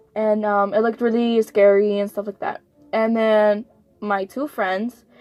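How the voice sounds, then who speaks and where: A woman with an American accent at a fairly high pitch, fairly slow and monotone in a flat delivery, with music in the background. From United States, Mexican American. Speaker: podcast co-host. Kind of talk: casual chat, telling a dream story. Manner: halting, many fillers.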